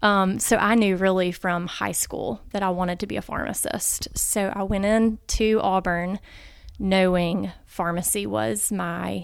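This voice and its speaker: A woman with an Alabama accent speaks at a fairly slow pace, her medium-pitched voice showing ordinary pitch variation. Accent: Southern US (Alabama). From US South, Montgomery, Alabama. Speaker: pharmacy professor and pastor's wife. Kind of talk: interview. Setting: in person.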